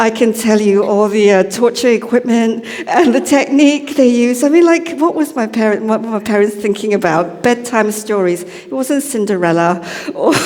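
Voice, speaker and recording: A woman talks at a moderate pace with lively intonation and a fairly high pitch. Audible room echo and noticeable background noise fill the recording. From Malaysia. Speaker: lay preacher. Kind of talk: sermon. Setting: church service. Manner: casual, conversational.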